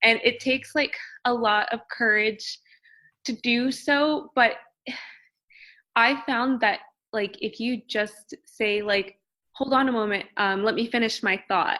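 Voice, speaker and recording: On a very clean recording with a silent background, a woman with a fairly high pitch speaks at a fairly slow pace, leaving long, frequent pauses. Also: ordinary pitch variation. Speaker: PhD student in biology. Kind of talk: interview conversation. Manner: soft-spoken.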